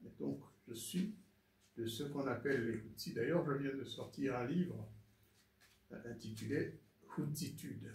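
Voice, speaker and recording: With vocal fry and ordinary pitch variation, the voice moves at a fairly slow pace with long, frequent pauses, and audible room echo surrounds it. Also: man, medium pitch for a man. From Rwanda. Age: 70s. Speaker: former ambassador. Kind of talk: interview testimony. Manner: hesitant, many fillers.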